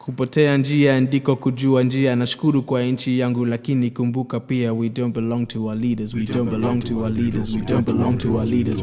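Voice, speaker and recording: Over music in the background, a man speaks at a fairly quick pace in a medium pitch with monotone, flat intonation. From Kenya. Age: young. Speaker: spoken word poet. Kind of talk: spoken word poetry performance.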